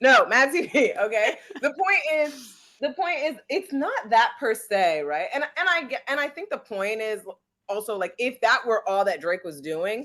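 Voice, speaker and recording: The voice moves at a moderate pace with an animated tone and very wide pitch swings. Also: woman, high pitch for a woman. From West Indian. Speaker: podcast co-host. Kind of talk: casual chat.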